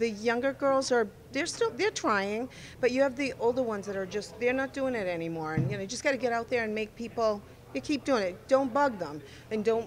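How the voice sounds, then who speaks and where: This woman has an ordinary speaking voice, pitched fairly high, with lively intonation at a fairly quick pace. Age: 60s. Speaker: amateur bowler. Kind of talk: casual interview.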